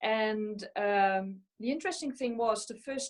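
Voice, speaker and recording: Against a quiet background, a woman with a Dutch accent speaks at a moderate pace, her fairly high pitch showing ordinary variation. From Netherlands, central. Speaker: physical medium and mediumship tutor. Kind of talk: panel discussion. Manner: hesitant, many fillers.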